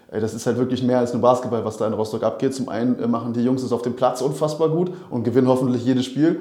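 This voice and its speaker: A man with a dark, mellow tone talks at a very fast pace. His pitch is medium and his intonation fairly even. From Berlin. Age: 30s. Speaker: basketball club manager. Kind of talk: casual chat.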